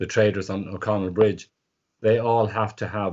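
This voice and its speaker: A fairly quick, monotone delivery with flat intonation in a Dublin accent. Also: man. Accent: Dublin Irish. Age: 60s. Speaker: market insurance scheme manager, former street trader. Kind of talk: interview.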